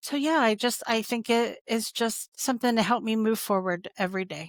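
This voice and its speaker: Dry and close with no echo, a very clean recording with a silent background carries a plain, everyday voice at a moderate pace with ordinary pitch variation. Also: woman, fairly high pitch for a woman. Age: 60s. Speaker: compliance executive. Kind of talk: casual interview chat.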